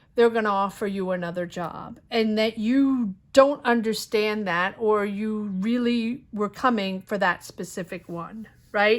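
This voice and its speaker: A woman speaks in a normal speaking voice at a fairly high pitch and fairly slow pace, with hardly any pauses. The recording is very clean, with a silent background. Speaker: tarot reader. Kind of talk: tarot reading monologue. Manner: casual, with fillers.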